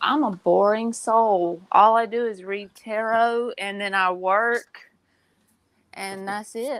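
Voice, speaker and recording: A woman's fairly high voice in a Southern US accent, very slow and fairly even in intonation, on a very clean recording with a silent background. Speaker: tarot reader. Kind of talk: casual chat. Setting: live stream.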